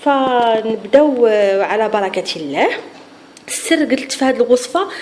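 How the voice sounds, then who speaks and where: Noticeable background noise accompanies a woman speaking at a fairly slow pace in a high voice with lively intonation. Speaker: cooking channel host. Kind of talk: cooking tutorial. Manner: halting, with frequent restarts and fillers.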